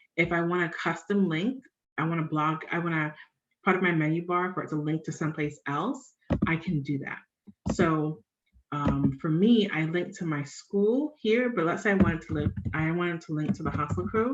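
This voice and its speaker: This woman has an ordinary speaking voice. Her pitch is fairly low, with ordinary variation. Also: moderate pace. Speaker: personal finance blogger. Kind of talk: live tutorial. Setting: live stream screen share.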